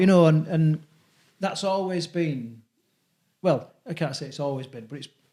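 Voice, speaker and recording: This man's voice is high in pitch, with a dark, mellow tone. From West Midlands, Telford area. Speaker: amateur rugby league player. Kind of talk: casual podcast chat.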